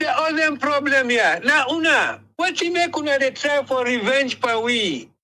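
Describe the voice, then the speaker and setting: A man's raised, projected voice at an extremely high pitch, fairly slow in pace with hardly any pauses, ordinary pitch variation and very even loudness. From Sierra Leone. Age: 70s. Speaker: caller. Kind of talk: call-in commentary. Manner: impassioned, stammering.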